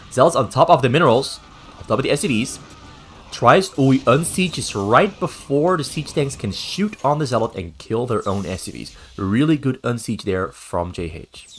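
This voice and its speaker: The speaker talks at a moderate pace with vocal fry, big swings in loudness, and very wide pitch swings. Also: man, medium pitch for a man. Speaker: game commentator. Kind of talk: esports game casting.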